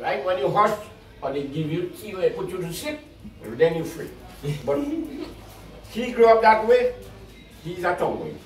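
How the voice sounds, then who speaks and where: Here a man with a high pitch speaks at a moderate pace with lively intonation, big swings in loudness and long, frequent pauses. There is audible room echo and faint music in the background. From Trinidad. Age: 70s. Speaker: farmer. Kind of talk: interview answer. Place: home room. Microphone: camera far.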